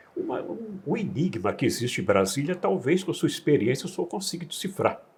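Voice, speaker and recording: This man's voice is high in pitch, with lively intonation. His pace is fairly quick. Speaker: interviewer. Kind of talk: interview questions.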